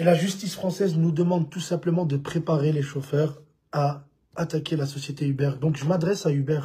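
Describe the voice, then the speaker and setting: Fairly high pitch for a man, in a dark, mellow tone with fairly even intonation and a fairly quick pace. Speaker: rideshare drivers' union representative. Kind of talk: live video message. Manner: halting, many fillers.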